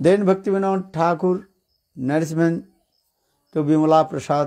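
Over a quiet background, a man with an Indian English accent speaks in a dark, mellow tone. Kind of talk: lecture with consecutive translation. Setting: stage with audience. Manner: halting. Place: home room. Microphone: handheld.

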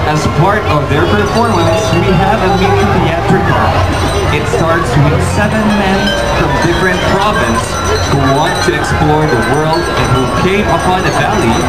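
Clear music plays in the background. The speech moves at a fairly slow pace. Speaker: event announcer. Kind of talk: announcement narration. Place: street.

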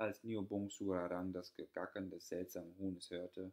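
A man's very deep, low voice, fairly slow and monotone, with flat intonation. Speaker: audiobook narrator. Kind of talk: fairy tale storytelling, reading aloud. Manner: calm, measured storyteller's narration, with soft, sorrowful tone in sad passages.

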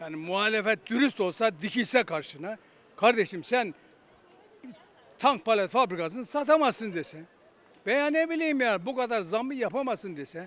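At a moderate pace, a man speaks with a high pitch and lively intonation. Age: 80s. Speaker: retired police officer. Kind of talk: street interview answer. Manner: emotional, indignant.

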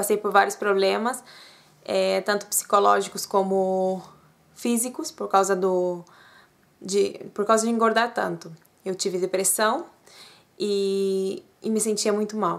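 A woman at a medium pitch talks at a fairly slow pace, leaving long, frequent pauses and keeping her intonation fairly even. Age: 30s. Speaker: vlogger. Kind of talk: personal vlog testimony. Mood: personal, earnest. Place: home room. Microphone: webcam.

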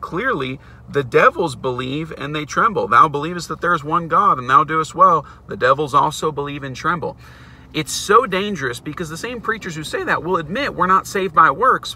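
Big swings in loudness mark a man's lively, fairly quick delivery in a dry sound with no echo. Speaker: bible teacher. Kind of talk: sermon-style vlog teaching. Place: car. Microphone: phone near.

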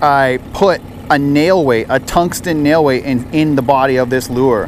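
Dry and echo-free, the speech runs at a fairly slow pace over light background noise. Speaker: angler vlogger. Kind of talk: casual vlog chat. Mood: relaxed, pleased. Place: boat. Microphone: phone near.

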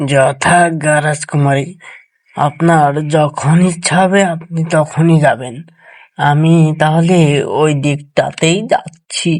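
This cartoonish character voice sits at a middle pitch. It moves at a very slow pace.

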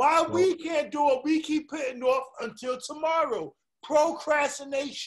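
With a New York accent and an animated tone, a man speaks at a moderate pace in an extremely high pitch with ordinary pitch variation against a quiet background. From New York, Brooklyn. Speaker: podcast host and artist; podcast host. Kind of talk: casual chat. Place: home room. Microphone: webcam.

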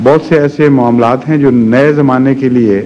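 A man talks at a very slow pace over light background noise. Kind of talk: interview answer. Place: hall. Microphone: podium.

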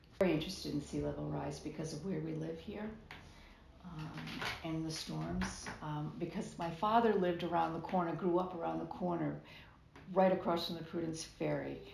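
Noticeable background noise accompanies a woman talking at a medium speed. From Rhode Island (Bristol); Rhode Island. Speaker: state legislator, retired teacher; retired teacher. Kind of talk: interview. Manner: casual, many filler words. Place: waterside. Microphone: phone near.

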